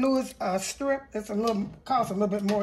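A woman talks at a moderate pace with ordinary pitch variation. Light background noise is present. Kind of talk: casual cooking tutorial. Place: kitchen. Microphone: phone near.

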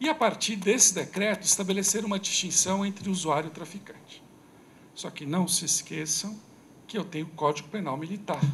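Speaking at a fairly quick pace over light background noise, a man with a high pitch shows ordinary pitch variation and big swings in loudness. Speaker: criminal law speaker at a debate; speaker. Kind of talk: lecture. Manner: fast. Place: hall. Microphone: podium.

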